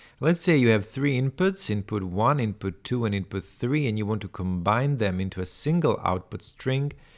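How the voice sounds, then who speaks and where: Lively intonation in a non-native accent on a very clean recording with a silent background. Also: man. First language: not English. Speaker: tech tutorial creator. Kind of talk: screen-share tutorial, thinking aloud. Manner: halting, many restarts and fillers.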